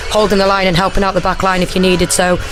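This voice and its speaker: Music plays in the background amid audible room echo. A woman speaks at a medium pitch. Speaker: former footballer and co-commentator. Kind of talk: casual chat. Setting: radio studio.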